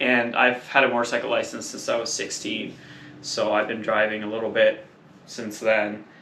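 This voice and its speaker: A man's medium-pitched, monotone, flat delivery at a moderate pace, with audible room echo and noticeable background noise. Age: 30s. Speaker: motorcycle traveller. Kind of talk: casual chat.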